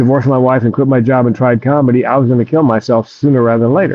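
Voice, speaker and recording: A man with a normal speaking voice holds a medium pitch and fairly even intonation. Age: 60s. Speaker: comedian and suicide prevention speaker. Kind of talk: interview testimony.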